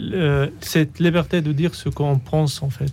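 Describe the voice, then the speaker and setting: Over noticeable background noise, a man with an Arabic accent talks at a fairly slow pace, his fairly high pitch showing ordinary variation. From Syria. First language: Arabic (speaking French). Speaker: refugee author. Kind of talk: radio interview. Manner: halting.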